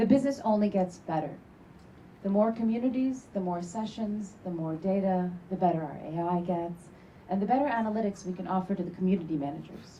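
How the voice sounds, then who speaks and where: The speaker has a slight Turkish accent and a fairly quick pace. Pitch variation is ordinary. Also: woman, medium pitch for a woman. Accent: slightly Americanized Turkish. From Turkey. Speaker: startup founder. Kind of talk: sales pitch.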